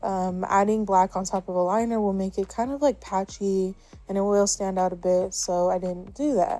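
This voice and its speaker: A woman speaks at a medium pitch and a moderate pace with fairly even intonation. Music plays in the background. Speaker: makeup youtuber. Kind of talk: makeup tutorial. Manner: slurring words; casual, filler-heavy.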